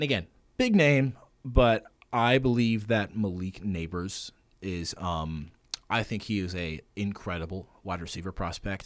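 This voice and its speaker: A man talks fairly slowly in a plain, everyday voice. His pitch is fairly low, with ordinary variation. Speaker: college radio sports co-host. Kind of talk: casual sports talk.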